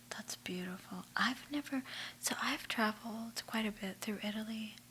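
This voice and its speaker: A soft-spoken woman at a fairly slow pace with fairly even intonation. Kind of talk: ASMR magazine read-through with chit chat.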